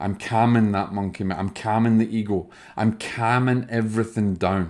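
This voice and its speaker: A man with a Scottish accent, fairly low pitch and fairly even intonation at a moderate pace, on a very clean recording with a silent background. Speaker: spiritual medium. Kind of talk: video talk to viewers.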